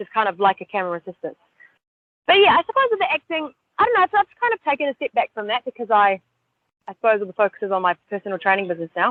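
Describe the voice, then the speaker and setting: Very fast speech in a New Zealand accent with very wide pitch swings. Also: woman, fairly high pitch for a woman. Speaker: personal trainer and ninja warrior competitor. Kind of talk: podcast interview.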